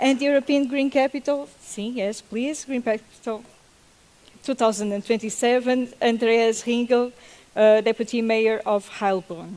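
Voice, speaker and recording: A woman with a non-native accent speaks at a fairly slow pace, her fairly high pitch showing ordinary pitch variation. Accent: non-native English accent, self-noted. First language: Portuguese. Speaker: panel moderator. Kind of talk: panel moderation. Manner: halting.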